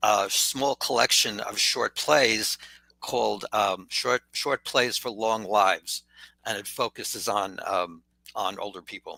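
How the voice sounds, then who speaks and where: Bright, sharp tone from a man at fairly low pitch, fairly slow pace and ordinary pitch variation, with a dry, close sound and no echo. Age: 70s. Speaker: writer and arts nonprofit co-founder. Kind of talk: interview. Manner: halting, many fillers.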